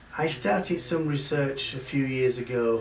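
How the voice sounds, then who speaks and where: Noticeable background noise and audible room echo around a man's fairly slow delivery. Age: 60s. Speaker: visitor interviewed about family history. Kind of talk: interview. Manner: hesitant, many fillers.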